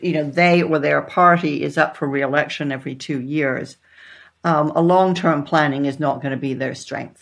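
The speaker has an American accent and a moderate pace on a very clean recording with a silent background. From Texas and the Netherlands (expatriate childhood). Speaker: author and former CEO. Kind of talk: interview conversation.

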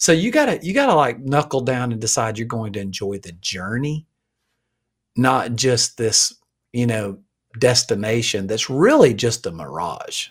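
A man's lively intonation in a Southern accent, on a very clean recording with a silent background. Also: medium pitch for a man, moderate pace, big swings in loudness. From Alabama. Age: 50s. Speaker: pastor and leadership coach. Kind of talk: casual interview.

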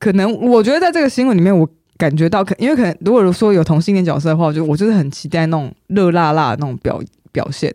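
Using lively intonation, a woman with a dark, mellow tone talks at a very fast pace. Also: fairly low pitch for a woman, very clean recording, silent background. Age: 30s. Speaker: podcast co-host. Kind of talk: casual chat.

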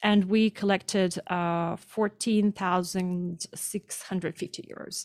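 Speaking in a Russian accent at a medium pitch, a woman talks at a very slow pace with monotone, flat intonation and hardly any pauses, in a dry, close recording with no echo that is very clean and has a silent background. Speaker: activist. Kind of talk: interview. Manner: halting.

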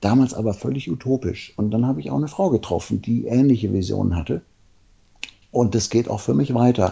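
Lively intonation and vocal fry mark this fairly quick delivery. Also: man, medium pitch for a man. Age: 50s. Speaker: men's coach and therapist. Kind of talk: interview.

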